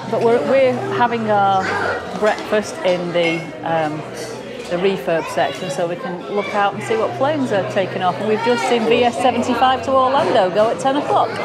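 Crowd noise fills the background. A woman speaks at a moderate pace. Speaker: travel vlogger. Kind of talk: casual vlog walkthrough commentary. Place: bar. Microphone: phone near.

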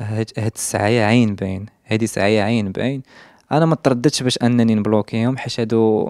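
At a moderate pace, the speech comes through with a quiet background and a dry sound with no echo. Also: man, fairly even intonation. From Morocco, Casablanca. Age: 20s. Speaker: social media influencer; interviewee. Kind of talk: interview testimony. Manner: halting. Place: home room. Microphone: handheld.

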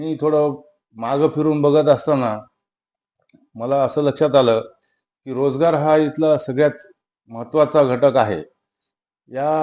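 Against a quiet background, a man with a fairly high pitch speaks in a dark, mellow tone with fairly even intonation. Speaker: local politician and educationist. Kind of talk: interview.

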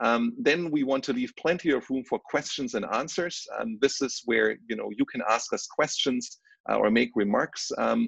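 The sound is dry with no echo, against a quiet background. A man talks at a moderate pace with hardly any pauses. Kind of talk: presentation. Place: home room. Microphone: video call.

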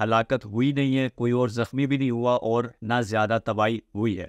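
Over a quiet background, a man speaks at a fairly slow pace in a dry sound with no echo. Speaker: news commentator. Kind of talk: commentary. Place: home room.

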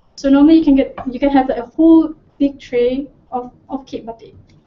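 The pace is very fast. Pitch varies in an ordinary way. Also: woman. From Malaysia. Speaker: cooking show presenter. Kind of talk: cooking tutorial. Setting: studio. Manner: animated. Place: kitchen.

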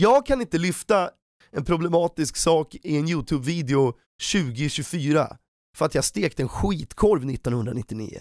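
A man talks at a fairly slow pace against a quiet background, the sound dry with no echo. His pitch is fairly high, and his tone is animated with lively intonation. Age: 30s. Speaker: YouTuber. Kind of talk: commentary video. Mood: critical, sarcastic, annoyed. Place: home room. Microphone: studio mic.

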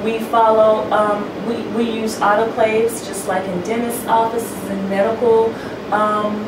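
There is noticeable background noise behind this woman. She speaks at a fairly slow pace. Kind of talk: interview answer. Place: home room.

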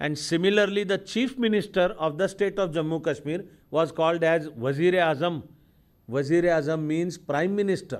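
Against a quiet background, a man with a high pitch talks at a moderate pace with ordinary pitch variation. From India. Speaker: lecturer. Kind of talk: lecture. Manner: formal. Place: hall. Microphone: podium.

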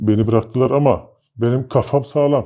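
The voice has a dark, mellow tone and fairly even intonation. The background is quiet. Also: man. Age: 30s. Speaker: interviewee claiming alien abduction; interviewee. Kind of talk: interview storytelling. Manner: hesitant with filler sounds. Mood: calm, reflective. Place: studio. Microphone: lapel.

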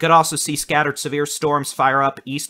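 A man's bright, sharp tone at a moderate pace. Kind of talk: weather briefing commentary.

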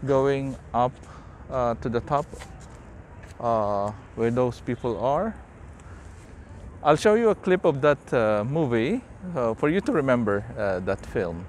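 Over light background noise with a dry sound and no echo, a man speaks at a fairly slow pace with lively intonation and long, frequent pauses. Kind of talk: casual vlog chat. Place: street. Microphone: phone near.

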